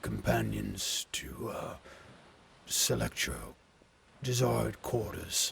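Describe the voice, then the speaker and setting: Putting on a character voice, a man speaks in a very deep, low pitch. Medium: actual play. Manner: hesitant, polite, full of pauses.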